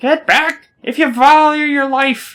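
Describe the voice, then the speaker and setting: High pitch and a fairly slow pace in a put-on character voice. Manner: threatening, fearful.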